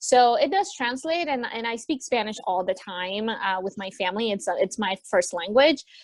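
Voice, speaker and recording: A woman with an American accent has a normal speaking voice, fairly high in pitch. She keeps a moderate pace with hardly any pauses. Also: lively intonation. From US West Coast, Los Angeles. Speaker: returned volunteer, university administrator. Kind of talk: interview. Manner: casual, many fillers (like, um).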